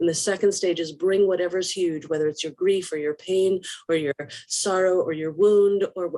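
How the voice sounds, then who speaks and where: A woman's medium-pitched voice with a dark, mellow tone, at a moderate pace. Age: 60s. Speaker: rabbi. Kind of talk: live online discussion. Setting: video call. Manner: halting.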